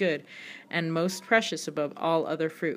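A woman with an unremarkable speaking voice, fairly low in pitch, at a moderate pace. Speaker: podcast host reading scripture; mother. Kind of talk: scripture reading, solemn and steady, in archaic King James phrasing. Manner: measured, reverent, even-paced, with small self-corrections.

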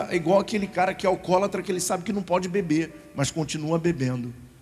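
The voice has an animated tone, heard over noticeable background noise. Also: man. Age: 30s. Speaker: pastor. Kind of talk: sermon.

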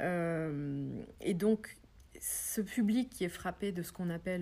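A woman speaks with a fairly low pitch, ordinary pitch variation and a dark, mellow tone. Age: 40s. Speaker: web development trainer. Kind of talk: interview. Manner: hesitant, many fillers.

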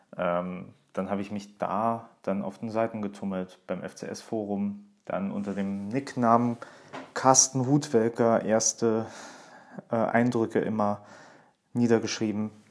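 A man speaks at a very slow pace. His intonation stays fairly even, broken by long, frequent pauses. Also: fairly low pitch for a man. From Saarland, Germany. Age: 20s. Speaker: podcast host, journalist and author. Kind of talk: personal monologue podcast.

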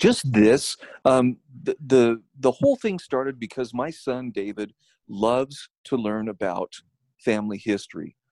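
A man speaks fairly slowly at a medium pitch with ordinary pitch variation, in an ordinary speaking voice, with a dry, close sound with no echo. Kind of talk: casual interview chat.

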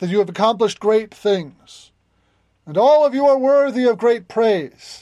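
A loud, high-pitched put-on character voice from a man, against a quiet background. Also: moderate pace. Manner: formal, praising, declamatory.

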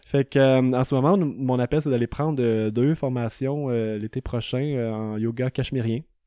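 A man with a medium pitch and a dark, mellow tone speaks at a fairly slow pace with fairly even intonation. The recording is very clean with a silent background and a dry, close sound with no echo. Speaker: yoga teacher and entrepreneur. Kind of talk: casual chat.

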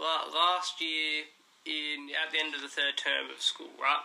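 Here is a man with an Australian accent and a fairly high pitch. He speaks at a fairly slow pace with fairly even intonation. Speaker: podcast host. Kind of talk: casual chat. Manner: teasing, joking.

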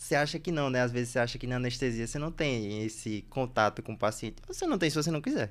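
Talking at a very fast pace with hardly any pauses, a man speaks with a Recife accent. His pitch is medium, with ordinary variation. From Bahia and Recife, Brazil. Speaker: podcast host, anesthesiology resident. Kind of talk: casual chat.

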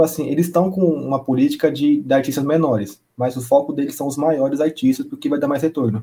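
Fast and somewhat breathy, a man's fairly high voice carries a dark, mellow tone and ordinary pitch variation at a very fast pace. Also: hardly any pauses. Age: 20s. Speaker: DJ and music producer. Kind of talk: casual chat.

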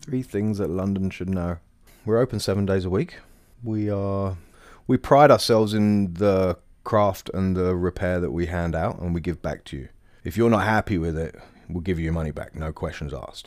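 On a very clean recording with a silent background, a man speaks with an East Anglian accent. His pitch is very deep and low, with ordinary variation. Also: moderate pace. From East Anglia, England (Bury St Edmunds). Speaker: cobbler and shop owner. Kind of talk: interview storytelling. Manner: casual, with fillers.

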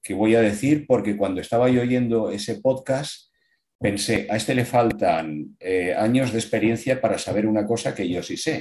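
Spoken by a man, this is a normal speaking voice. His pitch is medium, with ordinary variation. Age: 60s. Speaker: amateur triathlete. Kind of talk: casual interview.

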